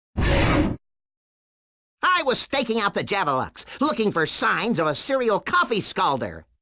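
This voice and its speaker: A put-on character voice, fairly high in pitch, moves at a moderate pace with long, frequent pauses. Sound effects play in the background. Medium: video game.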